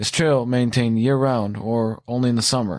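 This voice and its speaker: Speaking at a fairly quick pace with fairly even intonation, a man has a plain, everyday voice on a very clean recording with a silent background. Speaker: author reading own story. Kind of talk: horror audiobook narration.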